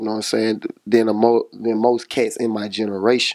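Against a quiet background, a man speaks at a moderate pace in a monotone, flat delivery. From Monroe, Louisiana; Louisiana. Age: 20s. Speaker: rapper. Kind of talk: casual interview. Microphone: handheld.

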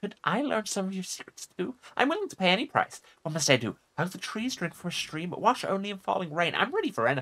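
A man speaks in a put-on character voice, pitched high. He talks at a very fast pace. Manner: eager, whimsical.

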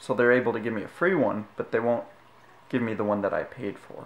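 Fairly quick speech from a man. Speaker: vlogger. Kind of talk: casual vlog rant. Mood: frustrated, complaining. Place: home room. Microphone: phone near.

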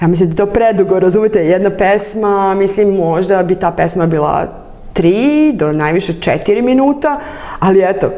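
A woman speaks with ordinary pitch variation and very even loudness. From Belgrade, Serbia. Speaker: poet and spoken word performer; poet. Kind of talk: interview answer. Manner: hesitant, many fillers. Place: studio. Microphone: lapel.

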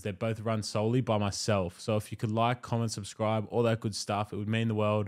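The setting is quiet. Here a man talks at a very fast pace. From Australia. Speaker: podcast host. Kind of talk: casual interview chat. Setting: podcast studio. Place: studio. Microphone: studio mic.

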